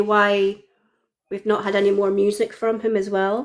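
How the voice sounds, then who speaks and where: This woman has a Scottish accent and a medium pitch. Her pitch moves up and down in an ordinary way. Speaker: fan guest. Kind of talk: casual chat. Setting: live video stream.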